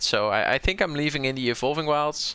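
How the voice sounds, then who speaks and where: Heard on a very clean recording with a silent background, a man with a strong Dutch accent and a bright, sharp tone talks at a moderate pace. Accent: Dutch accent, fairly strong. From southern Netherlands, North Brabant. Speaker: game streamer. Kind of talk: live gameplay commentary. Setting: live stream. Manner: casual, thinking aloud with hesitations.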